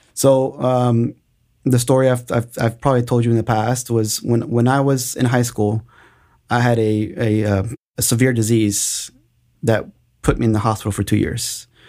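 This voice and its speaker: Speaking at a moderate pace with an American accent, a man with a medium pitch and a dark, mellow tone keeps a monotone, flat intonation. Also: very clean recording, silent background. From Austin, Texas. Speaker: business owner. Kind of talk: interview.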